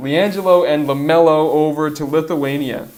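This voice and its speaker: Noticeable background noise and audible room echo accompany this male speaker. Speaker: sports podcast co-host. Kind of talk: casual chat. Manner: animated.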